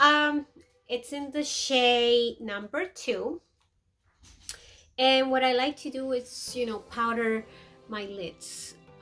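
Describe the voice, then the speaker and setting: With music in the background, a woman in a Peruvian American accent speaks at a very slow pace and a high pitch, with ordinary pitch variation and long, frequent pauses. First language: Spanish. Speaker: beauty vlogger. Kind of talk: makeup tutorial. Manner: casual, chatty.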